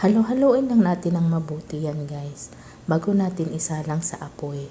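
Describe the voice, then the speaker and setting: A somewhat breathy voice with a dark, mellow tone moves at a fairly slow pace. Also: woman. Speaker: cooking content creator. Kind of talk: cooking voice-over tutorial. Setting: voice-over.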